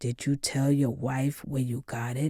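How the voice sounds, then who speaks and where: Using a put-on character voice at a low-to-middle pitch, the speaker holds a monotone, flat intonation at a moderate pace. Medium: read story.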